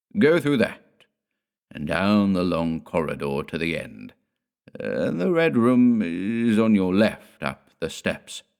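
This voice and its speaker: A put-on character voice moves at a fairly slow pace with very wide pitch swings on a very clean recording with a silent background. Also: man. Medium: read story. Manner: curt, ominous.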